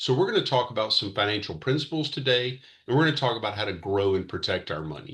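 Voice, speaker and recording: In an American accent, a man of medium pitch talks at a very fast pace with vocal fry and very wide pitch swings, over a quiet background. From US South, Mississippi. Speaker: financial educator, retired military veteran. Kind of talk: presentation. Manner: casual, joking.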